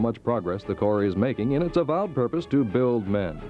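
Music plays in the background as a man talks at a very fast pace with lively intonation. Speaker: news reporter. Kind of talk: vintage TV news report narration.

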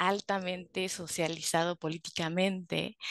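A fairly slow pace in a dry sound with no echo and a quiet background. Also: woman. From Mexico City. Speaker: therapist; guest. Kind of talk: casual interview; interview conversation. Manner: hesitant, many fillers. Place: home room. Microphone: headset.

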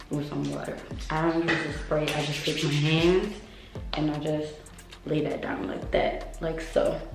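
A woman with a very deep, low pitch talks at a moderate pace amid audible room echo and clear music in the background. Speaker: hair vlogger. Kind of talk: tutorial. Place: home room. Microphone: camera far.

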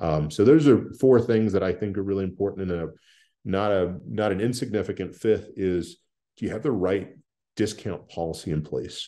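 Against a quiet background, a man with an American accent talks at a moderate pace in a fairly low, dark, mellow voice with ordinary pitch variation. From Texas Panhandle, rural area near Amarillo; Texas. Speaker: private equity executive; podcast guest. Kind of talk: casual interview.

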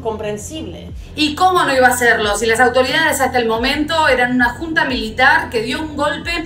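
A woman projects a raised voice over faint background music, with audible room echo. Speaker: presenter. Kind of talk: explanatory history commentary. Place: home room.

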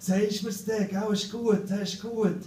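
Amid audible room echo and light background noise, a man with a high voice speaks at a fairly slow pace. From Switzerland. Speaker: slam poet. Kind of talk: poetry slam performance, comic storytelling with voiced characters. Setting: stage with audience. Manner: animated, comic timing. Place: stage.

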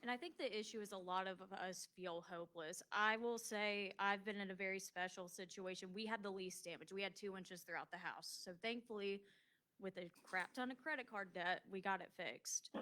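Loud and fairly quick, a woman speaks with a bright, sharp tone. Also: medium pitch for a woman, ordinary pitch variation. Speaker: resident speaking at public comment. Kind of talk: public comment at meeting.

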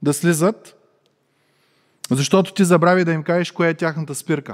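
A man speaks at a moderate pace with a high pitch and fairly even intonation. The background is quiet. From Bulgaria. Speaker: preacher. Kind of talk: sermon. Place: church. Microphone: headset.

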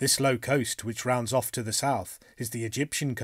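Fairly even intonation carries the speaker, who is reading aloud in a natural voice.

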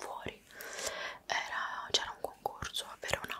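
A woman is whispering in an intense tone amid noticeable background noise. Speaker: vlogger. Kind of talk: casual vlog chat showing belongings. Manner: intense close ASMR whisper. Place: home room. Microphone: studio mic.

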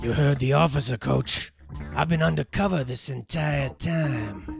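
A man's raspy, put-on character voice at medium pitch and moderate pace, with faint music in the background. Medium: stage play. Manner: quiet, terse, deadpan.

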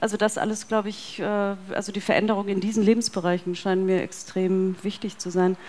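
A woman's monotone, flat delivery with hardly any pauses. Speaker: philosophy professor. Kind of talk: panel discussion. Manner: halting, many fillers. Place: hall. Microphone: headset.

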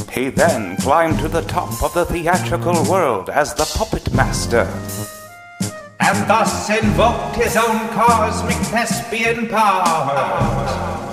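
A man's high voice with very wide pitch swings at a very slow pace, music playing in the background. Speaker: storyteller. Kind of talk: read story.

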